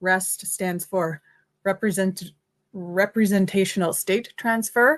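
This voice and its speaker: A woman talks very slowly over a quiet background. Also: medium pitch for a woman, ordinary pitch variation. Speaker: tech presenter. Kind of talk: livestream tutorial. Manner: hesitant, many fillers.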